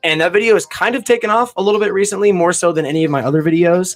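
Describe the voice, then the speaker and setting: Music plays in the background. A man is speaking. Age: 20s. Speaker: YouTuber. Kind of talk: casual chat. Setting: livestream to camera. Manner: mumbling.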